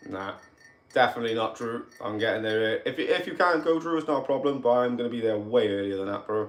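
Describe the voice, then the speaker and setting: A man with a Cardiff accent at a very fast pace. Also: medium pitch for a man, ordinary pitch variation. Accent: Welsh, Cardiff. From Wales, Cardiff. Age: 30s. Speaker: paranormal investigator. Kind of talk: livestream chat. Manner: animated.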